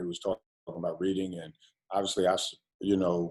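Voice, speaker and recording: A man with an American accent and a very deep, low pitch. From New York. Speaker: college basketball coach. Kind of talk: interview. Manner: halting.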